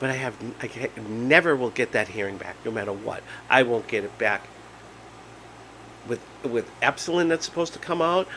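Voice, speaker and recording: Animated and lively in intonation, a man speaks at medium pitch and a moderate pace. He leaves long, frequent pauses. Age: 50s. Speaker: vlogger with Meniere's disease. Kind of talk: casual monologue vlog. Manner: halting.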